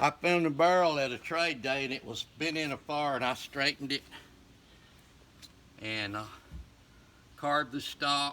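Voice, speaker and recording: A man's fairly high, bright, sharp voice in a rural Southern US accent, with long, frequent pauses, on a very clean recording with a silent background. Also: ordinary pitch variation, moderate pace. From US South, northeast Alabama. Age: 60s. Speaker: folk craftsman and fiddler. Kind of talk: casual show-and-tell interview.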